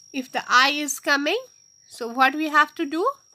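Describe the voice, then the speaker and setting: The voice is raised and projected, with a bright, sharp tone. It moves at a very slow pace. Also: woman. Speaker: maths teacher. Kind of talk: lecture.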